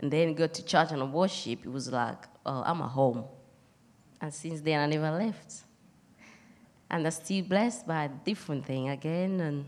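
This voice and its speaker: A woman speaks in a very deep, low pitch with a non-native accent. Her speech has long, frequent pauses. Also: ordinary pitch variation, moderate pace. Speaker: church member. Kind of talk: testimony.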